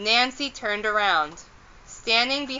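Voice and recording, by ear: In a natural voice with ordinary pitch variation, someone reads aloud.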